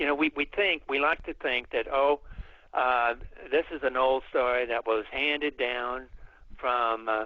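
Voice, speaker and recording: A man's medium-pitched voice with an American accent, fairly even intonation and a fairly slow pace. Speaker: folklorist and author. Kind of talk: radio interview answer. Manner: hesitant, with frequent filler words.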